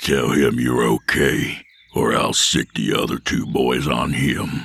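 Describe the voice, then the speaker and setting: Growling and raspy, a man performs a put-on character voice at a very deep, low pitch. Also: fairly slow pace, fairly even intonation. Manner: growling, menacing.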